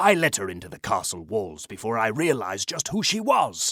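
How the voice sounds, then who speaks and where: A man does a put-on character voice, raspy and growling, at a medium pitch. He talks at a fairly quick pace with very wide pitch swings. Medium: read story.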